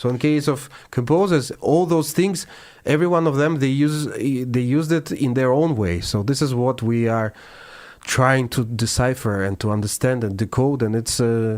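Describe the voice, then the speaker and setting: A man speaks at medium pitch in a Russian accent, at a moderate pace. His pitch varies in an ordinary way and his loudness stays very even. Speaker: classical pianist. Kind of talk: interview. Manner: halting.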